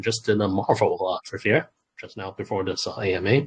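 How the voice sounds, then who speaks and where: At a moderate pace, a man with a non-native accent speaks in a somewhat breathy voice. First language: not English. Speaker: crypto game project representative. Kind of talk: AMA interview answers. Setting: video call AMA. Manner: halting, many fillers.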